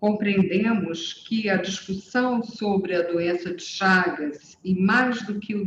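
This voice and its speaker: A woman with a Brazilian accent speaks at a very slow pace, her medium pitch carried on fairly even intonation. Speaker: health institution president. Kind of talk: conference speech.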